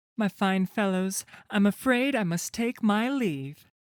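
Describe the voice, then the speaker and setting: On a very clean recording with a silent background, a put-on character voice speaks at a fairly high pitch and a fairly slow pace. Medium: read story. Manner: confident, theatrical.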